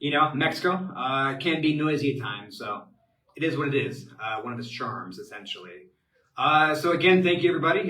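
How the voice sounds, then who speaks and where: Speaking with an American accent at a moderate pace, a man uses ordinary pitch variation, with audible room echo around him. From US Midwest, Cincinnati, Ohio. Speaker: expat advisor, webinar host. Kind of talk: live webinar Q&A. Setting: live online webinar from home. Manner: many filler words, halting.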